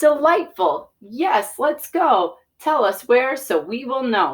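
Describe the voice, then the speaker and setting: A woman's high-pitched, put-on character voice with a cheerful tone, at a fairly slow pace. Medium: read story. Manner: cheerful, rhyming.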